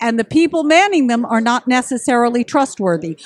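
Over noticeable background noise, a woman speaks at a high pitch and a moderate pace with lively intonation. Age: 60s. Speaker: ballet teacher and editor. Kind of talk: casual interview.

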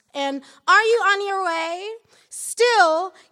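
Speaking very slowly in a raised, projected voice, a woman with an American accent has a bright, sharp tone and very wide pitch swings. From Michigan. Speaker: poet. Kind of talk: poetry reading. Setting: stage with audience.

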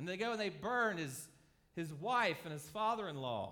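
This man's voice is raised and projected, with a bright, sharp tone and lively intonation. He keeps a moderate pace, and room echo is audible. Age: 40s. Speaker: pastor. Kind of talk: sermon.

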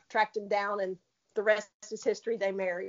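A woman's fairly high-pitched voice with a Southern US accent. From Tennessee. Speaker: racehorse owner. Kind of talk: casual interview. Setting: phone call.

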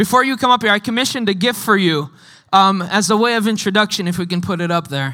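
A man's raised, projected voice, high-pitched with a bright, sharp tone, at a very fast pace on a very clean recording with a silent background. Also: ordinary pitch variation. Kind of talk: introduction speech. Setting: church.

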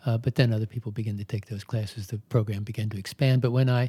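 On a very clean recording with a silent background, a man with an American accent speaks at a fairly quick pace and medium pitch, somewhat breathy, in a dark, mellow tone with fairly even intonation. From Maryland, US. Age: 70s. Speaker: yoga teacher. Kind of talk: interview.

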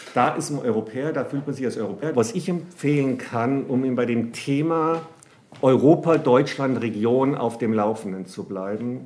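Here a man speaks at a moderate pace with a medium pitch and lively intonation. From Bavaria, Germany. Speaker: economics professor. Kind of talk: interview. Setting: office.

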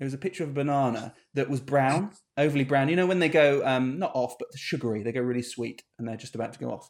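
A man with a British accent speaks at a very fast pace. His pitch is fairly high. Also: ordinary pitch variation. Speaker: podcast host, web business owner. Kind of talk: casual chat.

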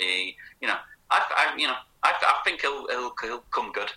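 Delivered at a moderate pace, the speech comes with a northern English accent. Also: man. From northern England, Manchester and Leeds. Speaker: author and football fan. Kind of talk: interview. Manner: halting, many repeated words.

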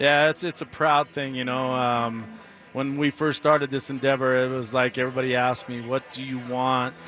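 Over noticeable background noise, a man speaks at medium pitch with monotone, flat intonation. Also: moderate pace. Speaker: distillery owner. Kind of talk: live radio interview, casual. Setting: live event with crowd and music.

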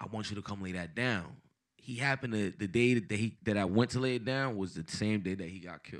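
At a fairly quick pace, a man speaks with fairly low pitch. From Paterson, New Jersey (born in Dominican Republic). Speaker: rapper. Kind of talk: casual interview.

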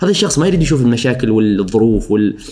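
With ordinary pitch variation, a man rushes through his words at a very fast pace. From Oman, Al Suwaiq. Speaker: social media influencer. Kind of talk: casual interview. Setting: studio. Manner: forceful pronunciation of some words.

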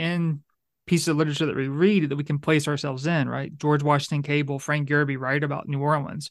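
Over a quiet background, the speaker talks with a Louisiana accent. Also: man. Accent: Southern US (Louisiana). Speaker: podcast host and center director. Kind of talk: casual interview conversation.

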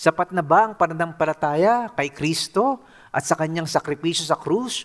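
A man with an unremarkable speaking voice, fairly high in pitch and lively in intonation, talks at a moderate pace in a very clean recording with a silent background and a dry, close sound with no echo. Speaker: pastor. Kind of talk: sermon.

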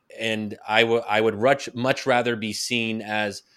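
Recorded very cleanly against a silent background, a man with an ordinary speaking voice and medium pitch talks at a moderate pace. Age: 30s. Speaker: think tank fellow and author. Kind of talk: casual interview.

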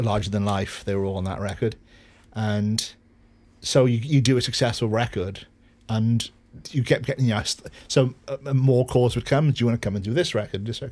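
Recorded very cleanly against a silent background, a man with a Welsh accent speaks at a medium pitch. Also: ordinary pitch variation. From Wales. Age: 50s. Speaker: record producer. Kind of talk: interview.

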